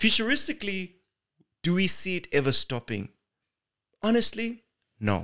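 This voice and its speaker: A man's raised, projected voice with a high pitch, bright, sharp tone, very wide pitch swings and long, frequent pauses. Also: moderate pace. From Zimbabwe. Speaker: actor and MC. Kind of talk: interview conversation.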